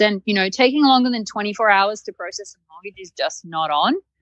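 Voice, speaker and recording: In an Australian accent, a woman speaks at a medium pitch with ordinary pitch variation, the sound dry and close with no echo. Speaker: site reliability engineer. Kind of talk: podcast interview.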